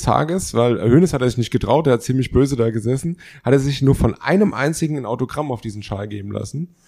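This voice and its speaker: With a dark, mellow tone and medium pitch, a man speaks at a very fast pace with lively intonation on a very clean recording with a silent background. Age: 30s. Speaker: podcast co-host. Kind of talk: casual chat.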